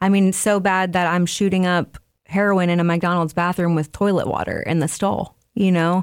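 The recording is very clean, with a silent background. A woman speaks in a fairly low, flat monotone at a very even loudness. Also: moderate pace. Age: 30s. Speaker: person in addiction recovery. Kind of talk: testimony. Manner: halting.

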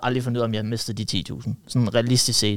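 Over a very clean recording with a silent background, a man talks at a very fast pace. His pitch is medium and his intonation monotone and flat. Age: 20s. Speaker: young entrepreneur, marketing agency owner. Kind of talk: casual chat.

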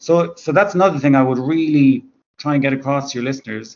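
The speaker has an Irish accent and fairly even intonation. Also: man. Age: 30s. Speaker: author. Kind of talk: interview.

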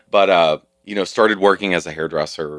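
Captured in a very clean recording with a silent background and a dry, close sound with no echo, a man in a Kentucky accent speaks with ordinary pitch variation. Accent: Southern US (Kentucky). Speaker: Pride leader and former hair industry professional. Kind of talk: casual interview conversation.

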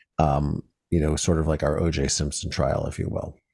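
A man with an American accent speaks at a fairly slow pace in a dark, mellow tone. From US Midwest, small-town Ohio. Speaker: documentary filmmaker. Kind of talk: interview testimony.

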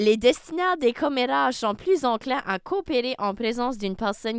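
A fairly high-pitched woman at a moderate pace, on a very clean recording with a silent background. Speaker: campus radio host. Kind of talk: casual chat.

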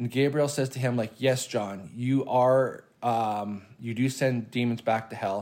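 A plain, everyday voice: a man at medium pitch, fairly slow and fairly even in intonation, on a very clean recording with a silent background. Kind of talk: casual chat. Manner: casual, swears.

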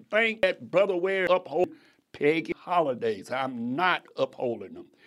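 A man with a high voice speaks in an animated tone with very wide pitch swings, recorded very cleanly against a silent background. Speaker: radio preacher. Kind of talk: sermon, preacher in full flow on the radio, pressing the congregation. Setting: radio broadcast. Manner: animated, fervent, exhorting, rhetorical questions and direct address.

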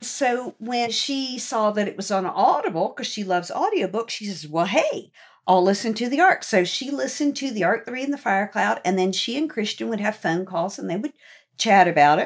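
A woman's a plain, everyday voice, fairly high in pitch, with an American accent at a moderate pace. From Virginia, Norfolk. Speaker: children's book author. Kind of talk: casual chat.

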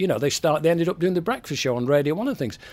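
A man speaks with a Mancunian accent on a very clean recording with a silent background. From Manchester, England. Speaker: music industry veteran and former radio presenter. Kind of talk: interview.

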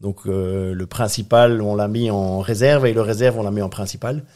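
A man talks at a moderate pace in a fairly low pitch, his intonation fairly even. The tone is dark and mellow, and the recording is very clean with a silent background. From Belgium, Brussels. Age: 50s. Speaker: ocean racing sailor and entrepreneur. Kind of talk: interview. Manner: hesitant, many fillers.

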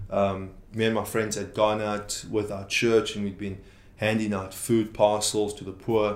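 In a room with audible echo, a man with a fairly low pitch speaks at a fairly slow pace in a monotone, flat intonation, his loudness swinging widely. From South Africa, Free State. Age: 20s. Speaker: youth pastor. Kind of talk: interview.

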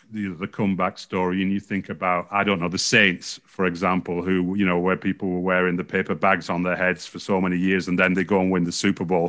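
A man with an English accent, a very deep, low pitch, and a fairly quick pace against a quiet background. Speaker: sports journalist. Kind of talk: podcast interview.

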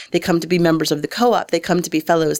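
In a very clean recording with a silent background, a woman with a fairly low-pitched voice and an American accent speaks with vocal fry. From Detroit suburbs, Michigan. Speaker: arts nonprofit director. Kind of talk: interview.

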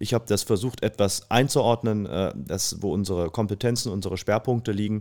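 On a very clean recording with a silent background, a man talks in a plain, everyday voice at a moderate pace, his fairly low pitch showing ordinary variation. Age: 30s. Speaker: family business executive. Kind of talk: interview. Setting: conference venue.

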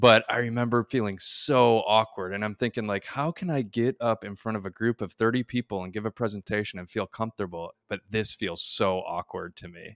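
In a very clean recording with a silent background and a dry, close sound with no echo, a man talks at a fairly quick pace in a normal speaking voice, medium in pitch, with ordinary pitch variation and big swings in loudness. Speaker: podcast host. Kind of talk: casual interview.

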